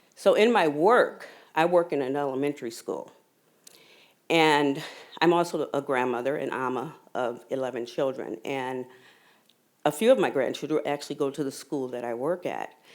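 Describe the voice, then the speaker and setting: On a very clean recording with a silent background, a woman with a very deep, low voice speaks at a moderate pace with ordinary pitch variation and long, frequent pauses. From Saint Paul, Minnesota. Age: 60s. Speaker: audience member, school worker. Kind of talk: audience question with personal story. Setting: live event with audience.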